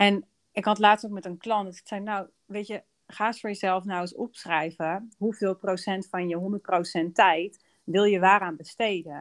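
A plain, everyday voice moves at a fairly slow pace with fairly even intonation, in a dry, close sound with no echo on a very clean recording with a silent background. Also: woman. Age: 30s. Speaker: business coach and podcast host. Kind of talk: casual chat.

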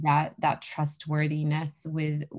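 A somewhat breathy woman with an American accent, a very deep, low pitch and a fairly slow pace. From New Hampshire, US. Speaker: running retreat founder and snowshoe racer. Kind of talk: casual interview.

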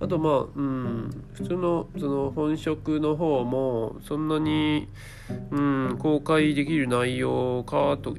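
A man with a fairly high pitch talks while music plays behind him. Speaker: solo podcaster with a day job. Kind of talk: casual solo monologue. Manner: halting, many fillers.

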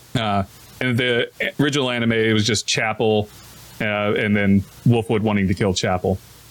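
A fairly low-pitched male voice with fairly even intonation and long, frequent pauses, against noticeable background noise. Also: moderate pace, very even loudness. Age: 30s. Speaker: anime review podcast co-host. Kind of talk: casual chat.

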